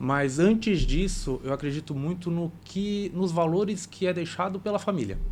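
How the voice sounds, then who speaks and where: A man speaking at a moderate pace. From Brazil, Santa Catarina. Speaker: cooperative bank regional manager. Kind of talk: podcast interview.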